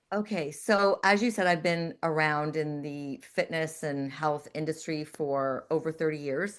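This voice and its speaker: A woman's very deep, low voice, with ordinary pitch variation and a fairly slow pace. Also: hardly any pauses, quiet background. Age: 60s. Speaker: fitness professional and holistic nutritionist. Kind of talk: interview.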